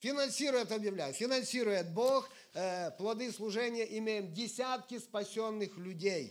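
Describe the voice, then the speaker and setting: At a fairly slow pace, a man speaks in a high pitch with ordinary pitch variation. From Ukraine, Sumy region. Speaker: evangelist preacher. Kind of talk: sermon.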